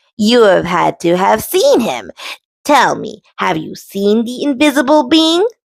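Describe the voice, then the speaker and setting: A woman uses a put-on character voice at a fairly high pitch. She speaks at a fairly slow pace. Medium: read story. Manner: calm, commanding.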